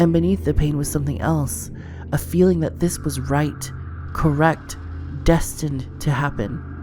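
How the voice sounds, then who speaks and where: Over noticeable background noise, a woman with a very deep, low pitch speaks at a fairly slow pace with very wide pitch swings. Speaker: vlogger. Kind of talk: horror story narration.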